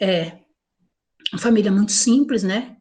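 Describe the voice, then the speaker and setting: Her delivery is fairly slow, and the woman's voice comes out somewhat breathy. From Paraná, southern Brazil. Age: 50s. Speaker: church worship leader. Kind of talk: interview testimony.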